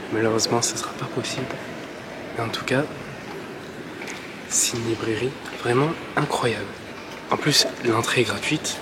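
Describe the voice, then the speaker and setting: Soft-spoken and with fairly even intonation, a man leaves long, frequent pauses amid noticeable background noise and audible room echo. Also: medium pitch for a man, moderate pace. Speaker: travel vlogger. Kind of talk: travel vlog talking to camera. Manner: soft-spoken in the library; casual, hesitant with many fillers.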